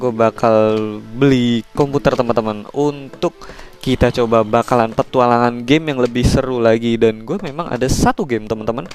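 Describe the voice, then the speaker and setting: Medium-pitched male voice with fairly even intonation and a moderate pace, music playing in the background. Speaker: gaming YouTuber. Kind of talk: gameplay commentary. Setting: at home.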